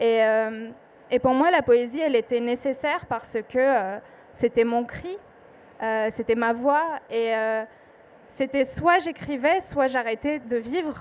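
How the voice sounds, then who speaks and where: The speaker has an Arabic accent and talks at a very slow pace with long, frequent pauses. The pitch variation is ordinary. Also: woman, high pitch for a woman. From southern Lebanon. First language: Arabic (speaking French). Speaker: poet. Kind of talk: panel talk at book festival. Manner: hesitant, many fillers.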